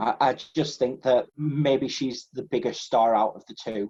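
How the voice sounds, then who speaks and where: With an English accent, a man speaks at a fairly slow pace in a dark, mellow tone, medium in pitch with ordinary pitch variation. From England. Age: 20s. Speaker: podcast co-host. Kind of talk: casual chat.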